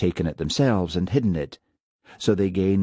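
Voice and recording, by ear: Reading aloud in a natural voice, the speaker uses ordinary pitch variation against a quiet background.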